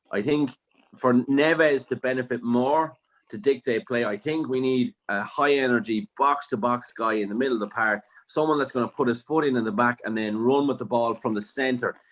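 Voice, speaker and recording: A man speaks in an Irish accent at a medium pitch. His pace is moderate, with ordinary pitch variation. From Ireland. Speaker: football fan pundit. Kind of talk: casual chat.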